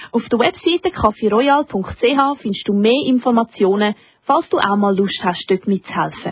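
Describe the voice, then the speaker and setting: A woman speaks with an ordinary speaking voice at a fairly high pitch. Her intonation is lively and her pace moderate. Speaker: radio host. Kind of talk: scripted narration. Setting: studio.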